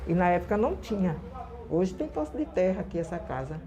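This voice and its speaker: A woman at medium pitch with ordinary pitch variation, music in the background. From Recife, Brazil. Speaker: community leader. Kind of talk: interview. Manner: halting.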